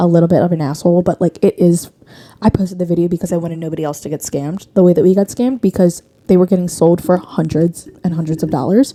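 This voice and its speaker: In a dry, close sound with no echo, a woman with a dark, mellow tone and fairly low pitch speaks at a very fast pace with ordinary pitch variation. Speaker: podcast host. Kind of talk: casual chat.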